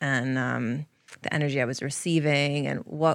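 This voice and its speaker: A woman's very deep, low voice with an American accent, on a very clean recording with a silent background. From Connecticut, US. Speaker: yoga teacher and barbershop owner. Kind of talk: interview.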